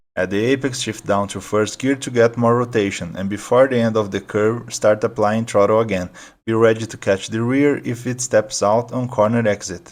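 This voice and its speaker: On a very clean recording with a silent background, a man with a non-native accent speaks at a moderate pace and medium pitch, using fairly even intonation and hardly any pauses. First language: not English. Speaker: sim racing video creator. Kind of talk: tutorial.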